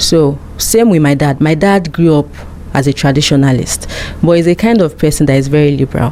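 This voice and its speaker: A woman with a Nigerian accent talks at a fairly quick pace in a very deep, low voice with ordinary pitch variation, over noticeable background noise. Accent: Nigerian (Yoruba) English. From Nigeria (Yoruba). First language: Yoruba. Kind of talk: interview.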